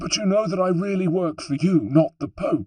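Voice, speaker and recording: A man puts on a character voice pitched high for a man. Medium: read story. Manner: anxious, pleading.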